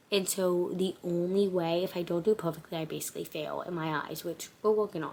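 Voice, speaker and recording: A woman's fairly low voice at a moderate pace, with an American accent and monotone, flat intonation. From Cincinnati, Ohio, US Midwest. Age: 20s. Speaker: content creator. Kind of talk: casual Q&A vlog.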